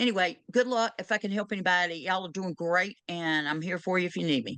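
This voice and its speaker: A woman's bright, sharp voice at a very fast pace, with a Southern US accent. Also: medium pitch for a woman, ordinary pitch variation. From US South. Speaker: end-of-life doula. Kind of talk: Q&A session advice.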